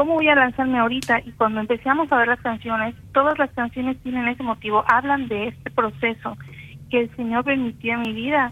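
With a high pitch, the woman talks in fairly even intonation. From Campeche, Mexico. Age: 40s. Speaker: singer-songwriter. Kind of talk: interview testimony.

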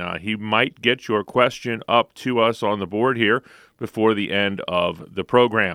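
Here a man uses an unremarkable speaking voice at medium pitch. His pace is moderate and his pitch varies in an ordinary way. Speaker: radio show co-host and announcer. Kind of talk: radio hosting and call management. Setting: radio studio. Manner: upbeat, polished announcer delivery.

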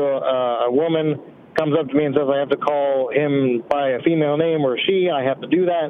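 His voice sits fairly high for a man, and the intonation stays fairly even. Noticeable background noise runs under the recording. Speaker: caller. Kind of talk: casual chat. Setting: phone call.

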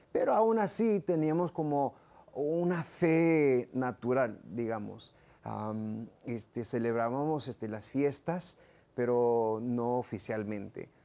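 The pace is very slow as a man talks. His voice has a dark, mellow tone. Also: medium pitch for a man, lively intonation. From South Texas, Rio Grande Valley; raised in Michigan. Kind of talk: interview. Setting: studio.

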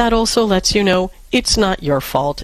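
Using an unremarkable speaking voice, a woman speaks at a moderate pace with lively intonation. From New York. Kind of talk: call-in advice show.

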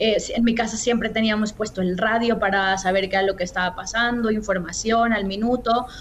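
Against noticeable background noise, a woman talks at a moderate pace with a fairly high pitch and fairly even intonation. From Mexico, Guadalajara. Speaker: journalist and communications manager. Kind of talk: interview.

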